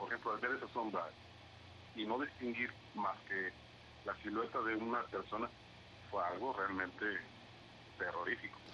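A man at a moderate pace with long, frequent pauses and very even loudness, against noticeable background noise. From Mexico, Veracruz (Xalapa). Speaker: aspiring podcaster. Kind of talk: casual chat. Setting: call.

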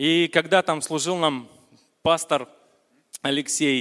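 Intonation stays fairly even. The man talks at a moderate pace. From Vologda region, Russia. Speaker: churchgoer giving testimony. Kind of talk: testimony. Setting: church service with congregation.

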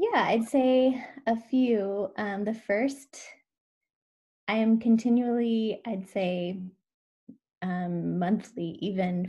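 With an American accent, a woman speaks in a dark, mellow, somewhat breathy tone and ordinary pitch variation. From US Pacific Northwest (Washington). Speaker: educator and parent coach. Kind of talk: interview conversation.

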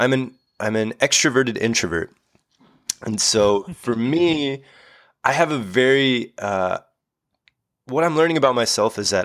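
An ordinary speaking voice from a man, medium in pitch, with lively intonation and a moderate pace, captured on a very clean recording against a silent background. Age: 30s. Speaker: physical therapist. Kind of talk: podcast interview.

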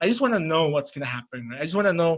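A man with a high voice for a man speaks with lively intonation. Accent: Indonesian. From Indonesia. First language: Indonesian. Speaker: podcast host. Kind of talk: casual chat. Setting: video call.

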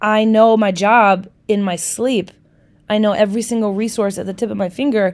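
In an Upper Midwest accent, a woman speaks at a moderate pace in an animated tone. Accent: Upper Midwest American. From Milwaukee, Wisconsin, US Midwest. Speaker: podcast host, social worker. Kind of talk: casual solo podcast monologue.

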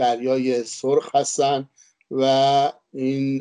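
A man's dark, mellow voice at a medium pitch, with a dry, close sound and no echo. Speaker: former diplomat and Egypt expert. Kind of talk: panel talk. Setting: online webinar.

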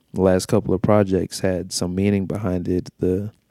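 Moderately paced, a man speaks with a fairly low pitch and a dark, mellow tone. His intonation is monotone and flat, and the recording is very clean with a silent background. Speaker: music podcast host. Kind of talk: casual podcast monologue. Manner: casual, conversational, slangy.

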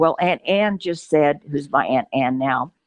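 Speaking at a fairly slow pace, a woman with an American accent has a fairly low pitch and ordinary pitch variation. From Oklahoma. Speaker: southern gospel singer. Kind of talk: testimony.

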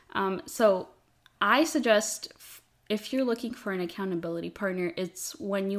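A woman speaks at a moderate pace in a plain, everyday voice. Her pitch sits in the medium range with ordinary variation. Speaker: podcast host. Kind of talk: casual chat, conversational podcast. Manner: playful, laughs often.

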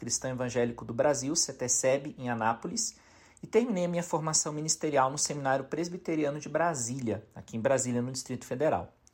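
At a fairly quick pace, a man talks in a plain, everyday voice, medium-pitched with ordinary pitch variation. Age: 40s. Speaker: pastor. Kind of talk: recorded testimony.

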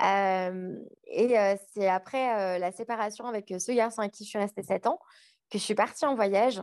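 A woman's medium-pitched voice, an ordinary speaking voice with ordinary pitch variation, dry and close with no echo over a quiet background. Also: fairly slow pace. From France. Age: 30s. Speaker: podcaster. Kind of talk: casual interview.

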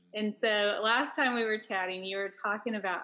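A woman speaks with a Texan accent. Her voice is fairly high, with a bright, sharp tone. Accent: Texan Southern US. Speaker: podcast host and author. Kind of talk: casual interview with scripted intro and outro.

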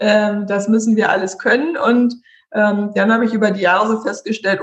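A woman speaks in a somewhat breathy, fairly high-pitched voice. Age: 30s. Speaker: IT consultant. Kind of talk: casual chat. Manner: animated.

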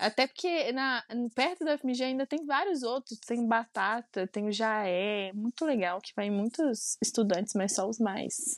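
Speaking in a Minas Gerais accent, a woman talks at a fairly slow pace with lively intonation, in a dry, close sound with no echo against a quiet background. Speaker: podcast co-host. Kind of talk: casual chat.

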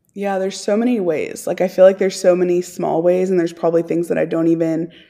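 A woman with an American accent speaks at a fairly quick pace. Her voice is medium in pitch with a dark, mellow tone. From Texas. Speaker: missionary. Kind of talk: casual chat.

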